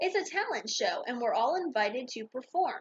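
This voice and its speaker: A woman puts on a character voice with an extremely high pitch. She speaks at a moderate pace with very wide pitch swings. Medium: read story.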